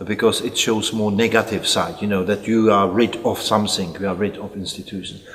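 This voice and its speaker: The voice moves at a fairly quick pace with hardly any pauses and a monotone, flat intonation, over noticeable background noise. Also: man, fairly low pitch for a man. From Czech Republic, Prague. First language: Czech. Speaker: psychiatrist. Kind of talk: interview. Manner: halting.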